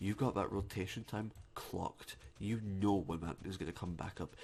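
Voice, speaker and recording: The voice is somewhat breathy. It belongs to a man with a very deep, low pitch. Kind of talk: ASMR gaming commentary. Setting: close microphone. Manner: soft-spoken, whispered.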